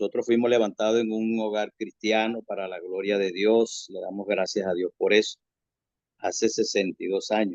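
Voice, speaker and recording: Fairly slow delivery with fairly even intonation. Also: man, dry, close sound with no echo. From Venezuela, Zulia (Mene Grande). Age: 60s. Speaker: prison ministry worker. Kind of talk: testimony. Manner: halting, with frequent repetitions.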